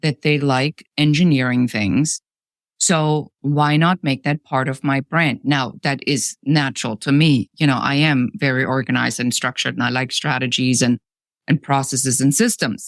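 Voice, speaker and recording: This woman's very deep, low voice moves at a moderate pace with ordinary pitch variation and very even loudness, captured dry and close with no echo in a very clean recording with a silent background. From Germany. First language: German. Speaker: business coach. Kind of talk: podcast interview. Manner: direct, to the point.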